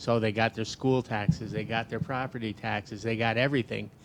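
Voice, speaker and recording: The man's intonation is fairly even. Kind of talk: panel discussion. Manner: loud.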